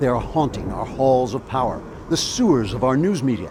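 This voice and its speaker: Lively intonation marks this man's speech, with noticeable background noise present. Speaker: political commentator. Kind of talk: satirical commentary to camera with horror-narrator style.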